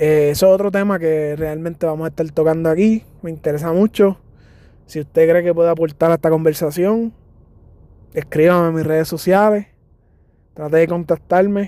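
This man speaks with a Puerto Rican accent in a high pitch, using a dark, mellow tone, ordinary pitch variation, a moderate pace and long, frequent pauses. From Puerto Rico, San Germán. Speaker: podcast host, physical education teacher. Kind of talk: podcast monologue introduction. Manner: hesitant with fillers.

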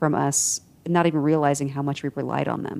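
A woman speaks at a very fast pace. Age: 40s. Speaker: podcast host. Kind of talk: casual chat.

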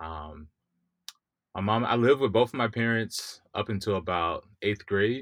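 In a very clean recording with a silent background, a man with an American accent and an ordinary speaking voice talks at a fairly slow pace, his fairly low pitch showing ordinary variation. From US South, Mississippi. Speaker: software engineer. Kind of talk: interview.

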